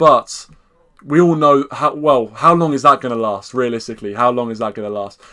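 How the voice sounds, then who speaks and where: With a bright, sharp tone, the voice shows ordinary variation in pitch. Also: man. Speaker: football fan channel host. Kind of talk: live stream fan preview with chat reading. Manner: fast; animated.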